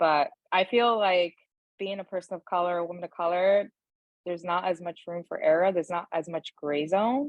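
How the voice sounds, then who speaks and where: A woman with a Brooklyn accent, fairly low in pitch, at a moderate pace. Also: ordinary pitch variation. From New York, Brooklyn (Bushwick), Dominican family. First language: Spanish. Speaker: HR and talent director. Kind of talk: podcast interview. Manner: casual, many fillers like 'like'.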